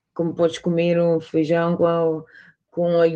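This woman's voice is fairly low, with a dark, mellow tone. She talks at a fairly slow pace. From Portugal, Cape Verdean parents. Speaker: sports manager. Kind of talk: interview. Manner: halting, many hesitations.

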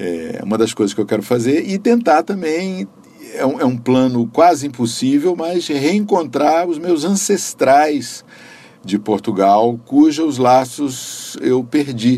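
Swinging very widely in pitch, a man talks very slowly at a fairly high pitch. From Brasília, Brazil. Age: 60s. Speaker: civil servant and visual artist. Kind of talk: interview.

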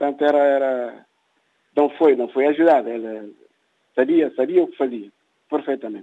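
The man's voice is fairly high in pitch. He keeps a moderate pace. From Guinea-Bissau. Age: 60s. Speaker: writer and former independence activist. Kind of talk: interview. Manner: halting, many repetitions.

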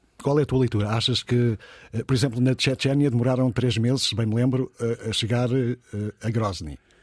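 A man with an ordinary speaking voice talks at a medium pitch and a moderate pace, his intonation fairly even and his loudness very even. The recording is very clean with a silent background, and the sound is dry and close with no echo. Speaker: radio news host. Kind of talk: radio news discussion. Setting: radio studio.

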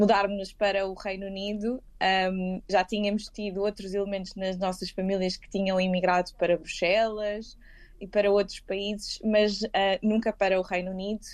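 A woman speaking at a moderate pace, quiet background. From Lisbon, Portugal. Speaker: lawyer. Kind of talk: interview. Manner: hesitant, with fillers and repetitions.

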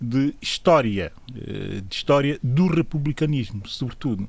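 This man has a plain, everyday voice. His pitch sits fairly high and his intonation is lively. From São Tomé and Príncipe. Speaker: political commentator. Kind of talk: radio panel debate.

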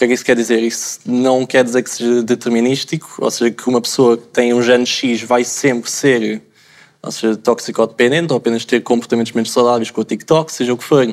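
Medium-pitched, a man speaks at a fairly quick pace. His intonation stays monotone and flat. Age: 20s. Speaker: pharmacy student. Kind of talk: panel discussion.

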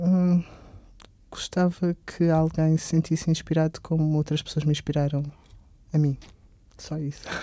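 A man's fairly high, dark and mellow voice, monotone and flat, at a fairly slow pace with long, frequent pauses, on a very clean recording with a silent background. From Portugal, Alentejo. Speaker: psychology student and artist. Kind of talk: interview.

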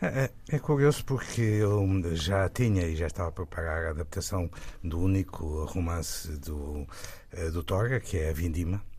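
At a moderate pace, a man speaks in a very deep, low pitch, somewhat breathy, with lively intonation. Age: 70s. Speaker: film director. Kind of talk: interview. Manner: halting.

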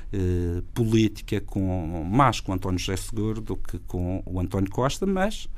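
The man's pitch is very deep and low, his pace fairly slow with hardly any pauses. Audible room echo fills the recording. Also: fairly even intonation. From Madeira, Portugal. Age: 40s. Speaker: regional party leader and politician. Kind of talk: political interview.

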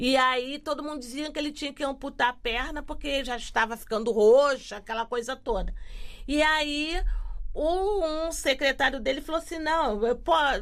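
Her high-pitched voice moves at a fairly slow pace, with very wide swings in pitch as this woman talks. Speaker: quilombola community activist. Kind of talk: casual interview conversation.

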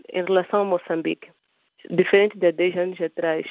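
A woman with a fairly low pitch speaks in a monotone, flat intonation. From Mozambique, Beira. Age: 30s. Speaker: entrepreneur and children's author. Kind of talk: interview.

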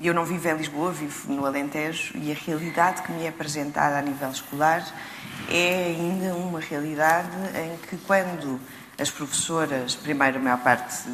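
A woman speaks at a very deep, low pitch and a moderate pace, with ordinary pitch variation. Audible room echo and noticeable background noise surround her voice. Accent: European Portuguese. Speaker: writer and actress. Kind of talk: panel discussion.

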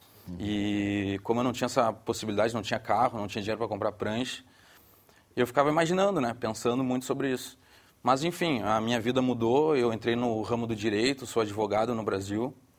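With a Brazilian accent, a man talks with ordinary pitch variation. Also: medium pitch for a man, fairly quick pace. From southern Brazil, Porto Alegre. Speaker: surfboard company director. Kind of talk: studio discussion.

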